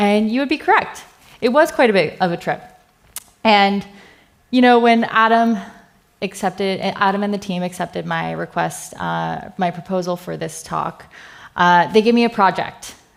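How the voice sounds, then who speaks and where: Medium pitch from a woman with a Californian accent, a moderate pace, ordinary pitch variation, and long, frequent pauses. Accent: American, California. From US West Coast, California Bay Area. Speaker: software engineer, conference speaker. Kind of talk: conference talk. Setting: stage with audience. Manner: casual, filler-heavy.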